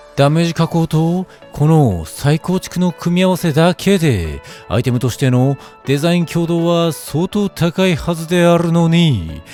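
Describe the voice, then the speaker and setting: With music playing behind him, a man talks fairly slowly at a high pitch with ordinary variation. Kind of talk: fashion item review narration. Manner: quirky, idiosyncratic narration.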